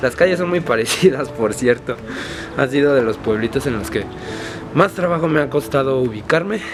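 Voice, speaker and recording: Music plays in the background as a man with a fairly high pitch talks at a moderate pace with lively intonation. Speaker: travel vlogger. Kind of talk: travel vlog narration.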